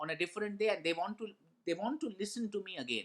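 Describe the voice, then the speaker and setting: With a Bengali accent, a man speaks in a raised, projected voice, his high pitch, bright, sharp tone and lively intonation all standing out. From India, Kolkata (Bengali). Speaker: motivational speaker, former radio jockey. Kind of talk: motivational talk with personal stories.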